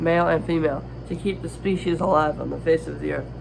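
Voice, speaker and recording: Noticeable background noise and audible room echo around a fairly quick delivery. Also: man. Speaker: youtuber reading scripture. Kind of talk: reading aloud. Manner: halting, stumbles over words.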